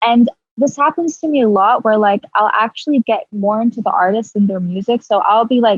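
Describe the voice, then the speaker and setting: A woman's somewhat breathy, fairly high-pitched voice at a moderate pace. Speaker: rapper. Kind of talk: casual chat. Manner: casual, many fillers.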